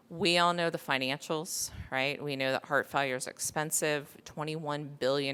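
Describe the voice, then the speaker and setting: In an American accent, a bright, sharp voice speaks at a moderate pace with fairly even intonation on a very clean recording with a silent background. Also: woman. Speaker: panel moderator, cardiologist. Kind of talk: conference panel introduction and talk. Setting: stage with live audience in a small room. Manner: hesitant, many filler words.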